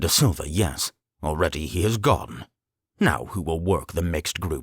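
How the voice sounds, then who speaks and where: A man puts on a growling character voice, very deep and low in pitch. He moves at a moderate pace with ordinary pitch variation. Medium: read story. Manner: soft-spoken, pleasant with menace.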